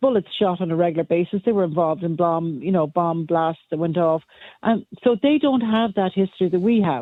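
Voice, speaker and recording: This woman speaks in an Irish accent at a fairly low pitch. Her pace is moderate, with ordinary pitch variation. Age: 60s. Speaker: caller. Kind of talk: radio phone-in opinion.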